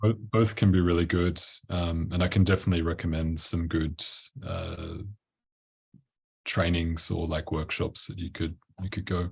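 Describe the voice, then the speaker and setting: Over a quiet background, a man with an Australian accent speaks in a very deep, flat monotone, somewhat breathy and relaxed, at a moderate pace broken by long, frequent pauses. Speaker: tantra coach. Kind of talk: interview. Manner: casual, relaxed.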